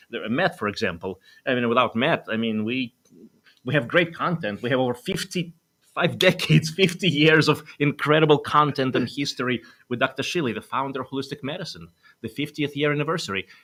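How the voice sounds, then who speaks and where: Here a man with a Russian accent speaks at a fairly quick pace in a fairly high pitch with vocal fry. His tone is bright and sharp, and his intonation is lively. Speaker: doctor and wellness show host. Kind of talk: talk show interview.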